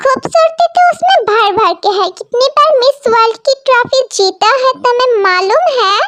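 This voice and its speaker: A put-on character voice with lively intonation, moderate pace and very even loudness, in a dry, close sound with no echo. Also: woman, extremely high pitch for a woman. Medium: fan dub. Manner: firm, scolding.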